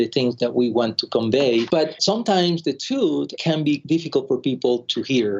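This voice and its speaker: This man talks at a fairly quick pace with a fairly high pitch. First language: Spanish. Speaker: pathologist, lab director. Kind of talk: interview.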